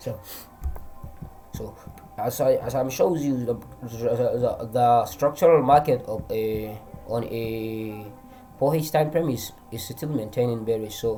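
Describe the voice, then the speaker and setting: With a Nigerian accent, a man talks at a very slow pace with long, frequent pauses while music plays in the background. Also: medium pitch for a man, ordinary pitch variation. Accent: Hausa-accented English, trying to improve it. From Northern Nigeria. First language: Hausa. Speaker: forex trader. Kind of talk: trading tutorial. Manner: halting, many restarts and fillers.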